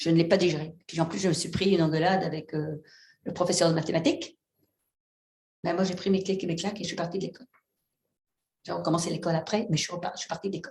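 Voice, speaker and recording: A woman's fairly low, somewhat breathy voice at a very fast pace, broken by long, frequent pauses. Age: 60s. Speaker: fisherwoman and seaweed farmer. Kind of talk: panel discussion. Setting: stage with audience. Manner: animated.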